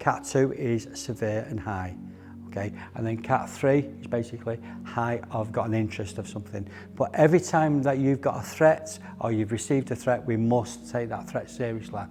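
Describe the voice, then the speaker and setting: A man speaks with a Manchester accent over music in the background. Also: medium pitch for a man, ordinary pitch variation, moderate pace. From northern England, Middleton, Manchester. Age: 60s. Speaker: close protection instructor. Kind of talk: training briefing. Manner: instructive, firm.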